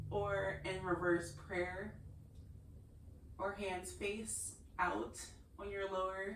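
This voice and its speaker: This woman talks at a very slow pace, with long, frequent pauses, audible room echo and noticeable background noise. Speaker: yoga instructor. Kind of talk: guided yoga class instruction. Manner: quieter, lowered voice as practice slowed; instructional, calm pacing.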